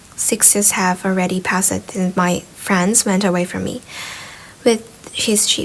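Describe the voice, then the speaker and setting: A woman's medium-pitched voice at a fairly slow pace, with noticeable background noise. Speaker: ASMR reader of a book, sleep aid. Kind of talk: soft ASMR-style audiobook reading for sleep.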